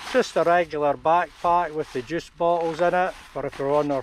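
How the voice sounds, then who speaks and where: A man speaks with a Scottish accent at a high pitch. His pace is moderate, with fairly even intonation and hardly any pauses. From Scotland. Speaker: campervan travel vlogger. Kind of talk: tutorial.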